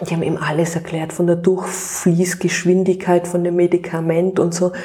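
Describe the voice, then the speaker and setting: The voice is flat and monotone throughout. Background noise is clearly audible. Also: woman. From Austria, Tyrol (Innsbruck). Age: 40s. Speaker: cookbook author and mother. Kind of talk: interview.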